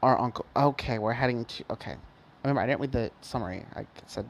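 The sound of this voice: What we hear is reading done in an unforced voice.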